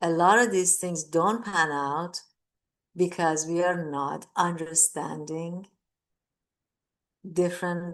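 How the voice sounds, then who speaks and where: With a Persian accent, a woman speaks very slowly at a fairly low pitch, the background quiet. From Iran. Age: 60s. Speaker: mindfulness teacher. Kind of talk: talk. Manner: repetitive, halting.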